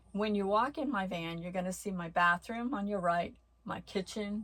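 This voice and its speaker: This woman speaks at a medium pitch and sounds somewhat breathy, recorded very cleanly with a silent background. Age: 70s. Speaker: vlogger living with bipolar disorder. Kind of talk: personal storytelling vlog.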